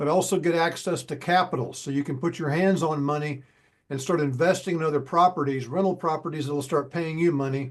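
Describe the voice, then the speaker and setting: A man with an ordinary speaking voice talks at a fairly quick pace, his fairly high pitch held in fairly even intonation. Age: 60s. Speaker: sales closer. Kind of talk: sales call.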